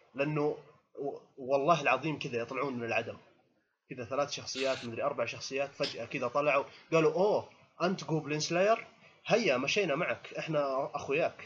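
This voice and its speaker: At a moderate pace, a man talks in an animated tone, his pitch fairly high with ordinary variation. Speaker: anime podcast panelist. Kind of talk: casual chat. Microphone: audio cutting out on call.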